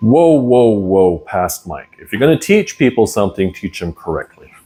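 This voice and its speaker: Speaking at a moderate pace, a man with a medium pitch uses lively intonation and big swings in loudness. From Germany. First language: German. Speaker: language teacher. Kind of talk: tutorial. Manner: casual, conversational.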